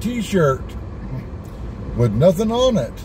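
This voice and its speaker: A man talks at a very slow pace. The sound is dry with no echo, and background noise is noticeable. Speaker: driver vlogger. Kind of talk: casual vlog chat. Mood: earnest, persuasive. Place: car. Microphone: phone near.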